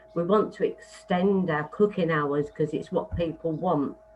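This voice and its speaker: Music plays behind a woman speaking very slowly, her fairly low voice held to a fairly even intonation. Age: 60s. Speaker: pub licensee. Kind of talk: licensing hearing submission.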